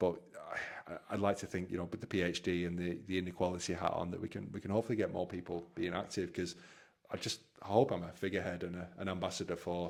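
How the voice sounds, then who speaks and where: The man's pitch is very deep and low. He talks at a very fast pace. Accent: northern English. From northwest England. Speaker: Paralympic rower, army veteran. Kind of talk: podcast interview. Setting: home gym. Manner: animated; halting.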